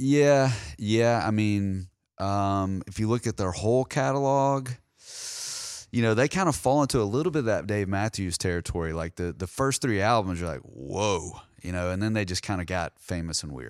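A man speaks at a moderate pace with lively intonation. He has an ordinary speaking voice. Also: fairly low pitch for a man, very clean recording, silent background. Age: 40s. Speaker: podcast host. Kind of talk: casual chat.

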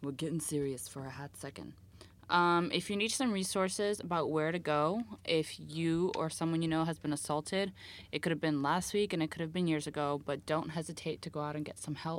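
On a very clean recording with a silent background, a woman with an American accent speaks at a fairly quick pace in a plain, everyday voice, fairly low in pitch with ordinary pitch variation. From US. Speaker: podcast host. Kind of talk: casual chat.

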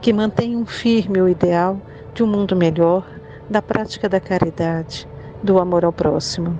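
At a fairly slow pace, a woman talks with fairly even intonation at a medium pitch, with noticeable background noise behind her. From Goiás, Brazil. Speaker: spiritist center member giving tribute. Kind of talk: recorded tribute message.

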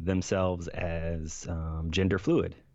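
Fairly even intonation from a man in an American accent. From Florida. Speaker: podcast host, former Marine. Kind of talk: interview conversation.

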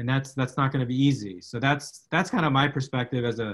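A normal speaking voice from a man with an American accent, medium pitch, ordinary pitch variation and a fairly quick pace. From South Texas, McAllen. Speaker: media law professor. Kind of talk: interview conversation.

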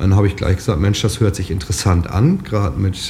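A man speaks amid noticeable background noise. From northern Lower Saxony, Germany. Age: 30s. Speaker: farmer. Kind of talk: interview.

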